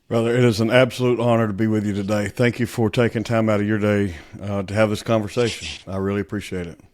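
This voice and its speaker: Talking at a very fast pace with hardly any pauses, a man with a Southern US accent uses a fairly low pitch and monotone, flat intonation on a very clean recording with a silent background. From US South, Southeast Alabama. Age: 50s. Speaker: author, speaker, former police officer. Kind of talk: podcast interview.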